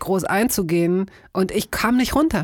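Speech at a very slow pace with ordinary pitch variation comes through in a very clean recording with a silent background. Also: woman. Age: 50s. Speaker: radio host and podcaster. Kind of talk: casual chat.

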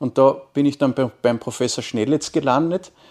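An unremarkable speaking voice moves at a moderate pace with ordinary pitch variation. The recording is very clean, with a silent background and a dry, close sound with no echo. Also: man. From Austria, Carinthia (Wolfsberg). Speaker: marketing professor. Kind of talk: interview. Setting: university campus.

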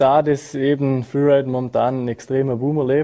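This man's voice sits at a medium pitch. It has a dark, mellow tone. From Austria, Montafon (Vorarlberg). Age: 20s. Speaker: freeride skier. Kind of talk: interview.

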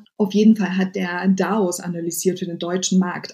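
A woman speaks at medium pitch with monotone, flat intonation. Music plays in the background. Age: 30s. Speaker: web3 diversity advocate and founder. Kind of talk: interview. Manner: halting.

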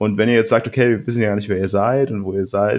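A man speaks at a medium pitch. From Bavaria, Ingolstadt. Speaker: podcast host. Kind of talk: casual chat.

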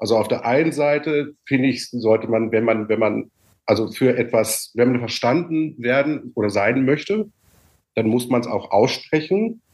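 A man speaks at a fairly slow pace with a medium pitch and ordinary pitch variation in a plain, everyday voice. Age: 50s. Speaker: coach and former musical performer. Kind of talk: casual chat.

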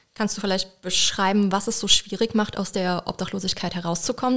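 Flat and monotone, a woman talks at a very fast pace. Her pitch is medium. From Mülheim-Kerlich, near Koblenz. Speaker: podcast co-host. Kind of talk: casual interview.

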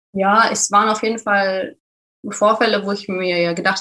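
Her voice is medium in pitch for a woman, delivered in a flat monotone. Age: 20s. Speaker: creative professional. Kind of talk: testimony.

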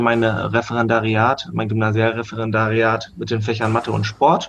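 A man talks at a medium pitch in a normal speaking voice. His pace is fairly slow. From Germany, Hannover. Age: 20s. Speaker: rugby coach. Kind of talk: casual chat.

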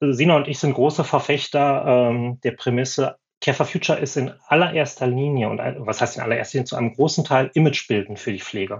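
The voice is somewhat breathy. A man delivers his words at a fairly quick pace. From Schleswig-Holstein, northern Germany. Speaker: former nurse, consultant. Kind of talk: podcast interview.

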